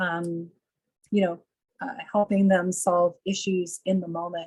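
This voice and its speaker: At a fairly slow pace, a woman talks in a dry, close sound with no echo. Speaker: nursing professor. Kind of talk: webinar Q&A. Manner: slow and clear.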